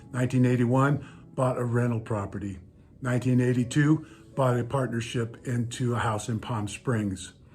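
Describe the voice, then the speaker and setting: With music playing behind him, a man talks at a moderate pace, his pitch medium and his intonation fairly even. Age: 60s. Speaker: real estate agent. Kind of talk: casual vlog talk. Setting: outdoors, then indoors.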